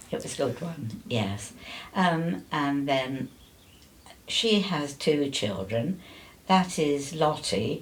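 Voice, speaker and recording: A woman speaks in a very deep, low voice, somewhat breathy. Her pitch swings very widely, and her pace is very slow. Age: 80s+. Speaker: older interviewee sharing life story. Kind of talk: casual interview.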